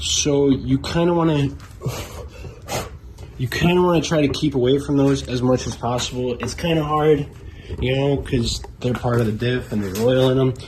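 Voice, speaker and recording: A man at medium pitch, moderate pace and ordinary pitch variation, with long, frequent pauses and noticeable background noise. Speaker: car hobbyist. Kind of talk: casual how-to tutorial. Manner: casual, relaxed.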